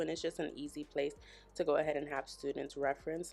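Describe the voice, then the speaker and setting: A woman's very deep, low voice at a fairly quick pace, with music in the background. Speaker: elementary school teacher. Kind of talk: vlog; phone call with parent.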